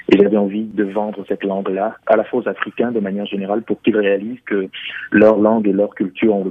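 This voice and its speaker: The pace is very fast. A man talks in a fairly low pitch. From Cameroon. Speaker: musician. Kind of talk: interview.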